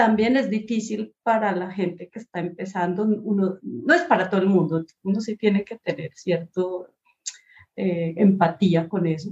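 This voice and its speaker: A woman talks at a fairly slow pace in a medium pitch, somewhat breathy, with ordinary pitch variation. The sound is dry and close, with no echo. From Colombia, Pasto (Nariño, south near Ecuador). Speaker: design professor and researcher. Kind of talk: interview conversation. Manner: halting, many repetitions and fillers.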